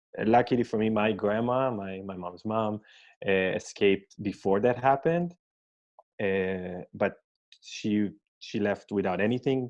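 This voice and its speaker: In a quiet background, a man with an Israeli accent talks at a fairly slow pace with long, frequent pauses, his fairly low pitch showing ordinary variation. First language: Hebrew. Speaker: scientist. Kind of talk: interview. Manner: halting, many fillers.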